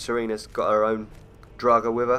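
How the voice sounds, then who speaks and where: A man talks at a fairly quick pace with a British accent. His tone is serious. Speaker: gaming YouTuber. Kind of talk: gameplay commentary. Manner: stutters on words at times; sounds serious.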